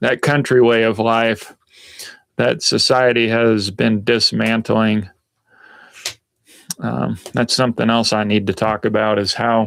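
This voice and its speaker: Using very even loudness and fairly even intonation, a man with a Southern US accent speaks at a medium pitch with long, frequent pauses. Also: fairly slow pace. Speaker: outdoor lifestyle vlogger. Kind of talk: casual live stream chat. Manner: hesitant, many fillers.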